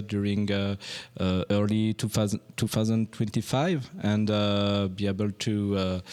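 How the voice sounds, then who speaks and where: In a French accent, a man speaks with monotone, flat intonation and a fairly low pitch, in a very clean recording with a silent background. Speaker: band member. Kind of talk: interview. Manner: halting.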